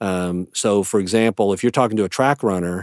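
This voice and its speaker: On a very clean recording with a silent background and a dry, close sound with no echo, a man with a plain, everyday voice speaks at a moderate pace with ordinary pitch variation. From US East Coast. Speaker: family doctor. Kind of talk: casual interview.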